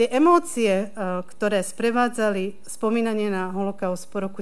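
A woman speaks with a Slovak accent and fairly even intonation. There is audible room echo. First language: Slovak (speaking Czech). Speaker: university lecturer. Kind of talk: panel discussion. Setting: hall with live audience, streamed online.

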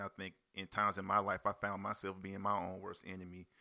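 A man with an American accent at a fairly quick pace, fairly low-pitched, bright and sharp in tone, monotone and flat, on a very clean recording with a silent background and a dry, close sound with no echo. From South Carolina (Spartanburg/Union). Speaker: rapper and label owner. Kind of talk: casual interview chat.

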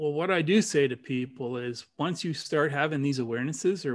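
Against a quiet background, a man with a Canadian accent has an ordinary speaking voice, fairly high in pitch, with ordinary pitch variation and a moderate pace. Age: 60s. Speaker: dowser and spiritual teacher. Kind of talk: casual interview chat.

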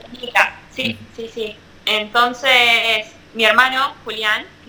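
A woman talks in a fairly high pitch with fairly even intonation. Noticeable background noise sits behind her. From Argentina. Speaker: professional mountain bike racer. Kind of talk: interview. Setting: video call.

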